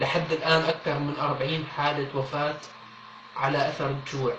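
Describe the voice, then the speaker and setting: A man with a Syrian accent and a fairly high pitch, in monotone, flat intonation at a moderate pace, amid noticeable background noise and audible room echo. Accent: Syrian Levantine Arabic. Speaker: appeal video speaker. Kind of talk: public appeal. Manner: earnest, pleading.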